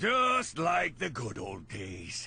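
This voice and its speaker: Over light background noise, a man puts on a character voice at a medium pitch. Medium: video game. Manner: gruff.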